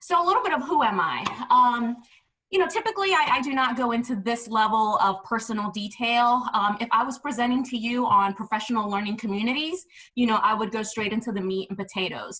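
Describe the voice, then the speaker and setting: A woman's voice has a bright, sharp tone and lively intonation. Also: fairly high pitch for a woman, fairly quick pace. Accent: American. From New York City, the Bronx. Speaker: education administrator and presenter. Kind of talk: webinar presentation.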